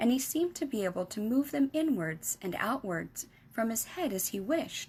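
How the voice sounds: This is a natural reading voice. It is the whole of the delivery.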